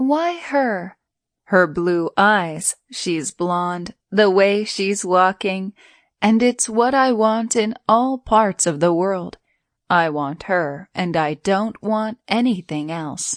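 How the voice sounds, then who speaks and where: A woman's put-on character voice at medium pitch, very slow, over a quiet background. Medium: read story.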